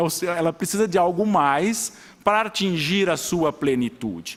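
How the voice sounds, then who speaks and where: The speaker talks at a moderate pace with lively intonation in an interior São Paulo accent. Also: man. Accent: caipira interior. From rural São Paulo state, Brazil. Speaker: judge. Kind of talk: public hearing speech. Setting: city council chamber. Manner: halting, with many repetitions.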